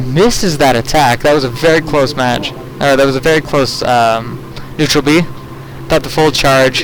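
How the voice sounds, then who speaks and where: A man with a fairly high pitch talks at a moderate pace, with noticeable background noise in the mix. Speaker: esports commentator. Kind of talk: live commentary. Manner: stutter; animated.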